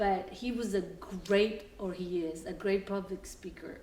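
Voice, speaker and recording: With a Salvadoran accent, a woman speaks at a moderate pace with fairly even intonation, amid noticeable background noise and audible room echo. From El Salvador. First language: Spanish. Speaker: mortgage operations worker. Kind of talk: documentary interview, casual storytelling. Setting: at home, house tour. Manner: hesitant, many fillers.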